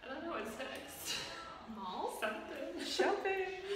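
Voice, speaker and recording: Amid audible room echo and noticeable background noise, a woman speaks at a very slow pace. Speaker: vlogger. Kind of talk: casual vlog chat. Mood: cheerful, laughing. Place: bathroom. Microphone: phone near.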